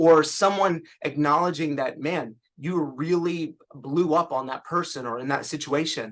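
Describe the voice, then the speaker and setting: Against a quiet background, a man with a fairly high voice speaks at a fairly slow pace with hardly any pauses. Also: ordinary pitch variation. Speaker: clinical social worker. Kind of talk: webinar presentation.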